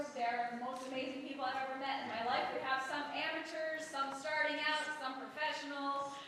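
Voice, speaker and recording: With a raised, projected voice, a woman talks at a fairly quick pace with hardly any pauses, her high pitch set in monotone, flat intonation, amid audible room echo and noticeable background noise. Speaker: musical director and writer. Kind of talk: speech to live audience. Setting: stage with audience. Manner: loud. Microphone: no microphone.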